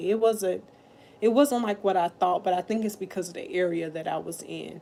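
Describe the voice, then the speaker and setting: A woman's dark, mellow tone with vocal fry, big swings in loudness and ordinary pitch variation. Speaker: livestreamer. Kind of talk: casual livestream chat. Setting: at her mother's house.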